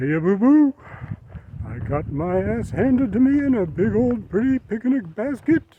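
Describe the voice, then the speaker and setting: A man puts on a character voice, high-pitched with very wide pitch swings, at a moderate pace. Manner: cartoonish.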